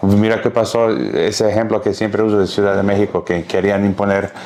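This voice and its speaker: At a moderate pace, a man with an English accent speaks in a fairly low voice over noticeable background noise. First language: English (speaking Spanish). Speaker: podcast host. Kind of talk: interview conversation. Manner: halting.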